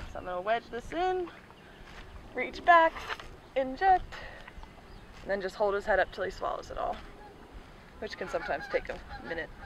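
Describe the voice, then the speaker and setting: Over noticeable background noise, a woman with an American accent talks at a fairly quick pace in a high voice with very wide pitch swings. She leaves long, frequent pauses, and the sound is dry with no echo. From Maryland, Frederick; Maryland. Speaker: barn manager. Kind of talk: casual interview; tutorial. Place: open country.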